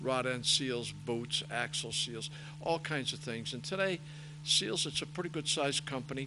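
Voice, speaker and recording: A man with a fairly high pitch and a bright, sharp tone speaks at a moderate pace with vocal fry. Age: 70s. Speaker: racing parts business owner and race director. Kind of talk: interview.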